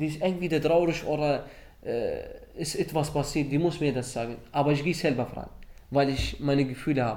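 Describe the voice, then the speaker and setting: There is audible room echo as a man speaks at a fairly quick pace with fairly even intonation. His pitch is fairly high and his tone dark and mellow. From Iraq, Baghdad. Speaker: refugee. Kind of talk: interview testimony. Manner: halting.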